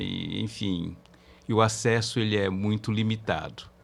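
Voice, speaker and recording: Here is an ordinary speaking voice from a man at a medium pitch. He talks at a fairly slow pace. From Brazil, São Paulo interior. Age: 60s. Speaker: safety engineer and labour court expert, professor. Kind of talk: podcast interview.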